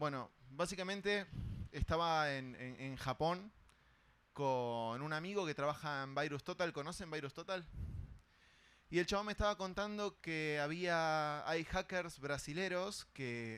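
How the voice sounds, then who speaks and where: A man's fairly high-pitched voice in a Rioplatense accent, at a fairly slow pace with ordinary pitch variation, in a very clean recording with a silent background. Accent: Argentine Rioplatense Spanish. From Argentina. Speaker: cybersecurity conference speaker. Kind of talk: conference talk. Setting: stage with audience. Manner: casual, conversational.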